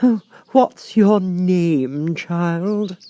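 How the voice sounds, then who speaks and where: Shrill and high in pitch, a man's put-on character voice shows ordinary pitch variation in a dry, close sound with no echo. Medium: read story. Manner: severe, imperious, shouting.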